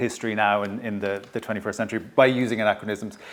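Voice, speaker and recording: Irish accent on a man's voice. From Ireland, County Kilkenny. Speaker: historian and author. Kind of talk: public talk interview. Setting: stage with audience at a heritage venue. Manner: slightly hesitant, self-correcting.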